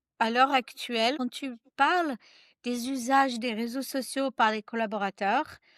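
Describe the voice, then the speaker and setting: Her voice is high-pitched, with fairly even intonation at a fairly slow pace. The recording is very clean and silent behind her, with a dry, close sound and no echo. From United States. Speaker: social selling trainer and author. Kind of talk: podcast interview. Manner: hesitant, with fillers.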